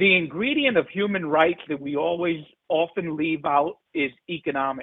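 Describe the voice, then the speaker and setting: Ordinary pitch variation in a man's speech. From New York, Brooklyn (Bedford-Stuyvesant). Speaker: economics professor. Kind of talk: panel discussion.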